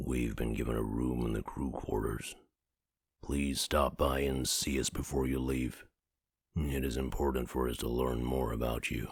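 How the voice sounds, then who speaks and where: Speaking at a moderate pace in a put-on character voice, a man keeps a very deep, low pitch, a monotone, flat intonation and very even loudness. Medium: video game. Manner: formal, polite.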